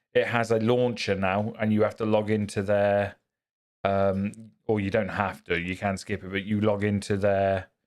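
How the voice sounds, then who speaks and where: With a British accent, a man of fairly low pitch speaks at a moderate pace in a flat monotone. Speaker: gaming streamer. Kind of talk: live gameplay stream chatting with viewers. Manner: loud.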